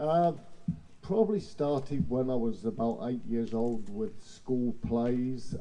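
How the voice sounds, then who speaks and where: A man with an English accent speaks at a medium pitch with a dark, mellow tone. His pace is fairly slow and his pitch variation ordinary. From England, Portsmouth. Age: 70s. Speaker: theatre director. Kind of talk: casual interview. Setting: live outdoor show with audience.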